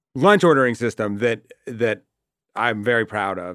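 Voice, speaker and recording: The sound is dry and close, with no echo. A man with a normal speaking voice talks at a medium pitch with lively intonation. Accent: American. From Boston area, US. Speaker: TV comedy writer. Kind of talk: casual chat.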